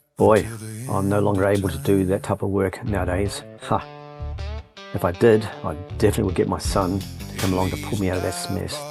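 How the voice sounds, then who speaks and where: Music plays behind a man with a fairly low pitch. He speaks fairly quickly with ordinary pitch variation. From New Zealand. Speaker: hobby dirt bike rider. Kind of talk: casual personal voice-over narration.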